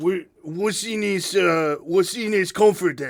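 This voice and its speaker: A man speaks at a fairly slow pace in a put-on character voice pitched high, on a very clean recording with a silent background. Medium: actual play. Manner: hesitant, halting, wary.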